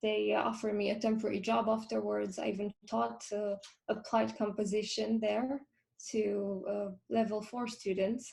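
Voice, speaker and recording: A woman at a moderate pace with a Romanian accent. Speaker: film composer. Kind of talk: interview. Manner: halting.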